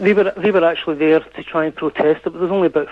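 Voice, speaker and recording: There is noticeable background noise as a man with a Scottish accent talks in fairly even intonation. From Scotland. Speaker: caller. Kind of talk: radio phone-in debate. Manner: halting, with many false starts.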